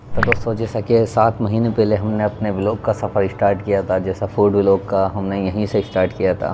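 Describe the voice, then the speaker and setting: Over noticeable background noise, a man speaks at a fairly low pitch in a monotone, flat intonation with hardly any pauses. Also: moderate pace. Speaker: food vlogger. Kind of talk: casual vlog chat. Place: cafe. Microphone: phone near.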